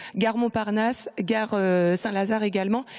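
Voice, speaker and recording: There is noticeable background noise as a woman speaks at a moderate pace. Her pitch is fairly high, with ordinary pitch variation. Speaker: TV reporter. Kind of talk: live report. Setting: on location indoors.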